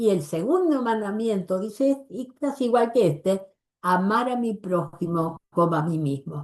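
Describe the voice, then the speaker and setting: With lively intonation, a woman speaks at medium pitch and a very slow pace. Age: 80s+. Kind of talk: religious workshop talk.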